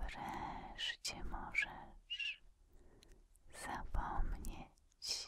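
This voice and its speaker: A woman's breathy, soothing whisper in a dry sound with no echo, over noticeable background noise. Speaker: relaxation video creator. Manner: breathy soothing ASMR whisper.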